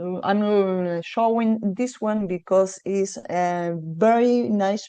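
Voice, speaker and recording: A woman's dark, mellow tone at a medium pitch, with ordinary pitch variation, against a quiet background. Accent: Spanish. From Argentina. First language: Spanish. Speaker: tour operator representative. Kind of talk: destination presentation. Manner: hesitant, many fillers.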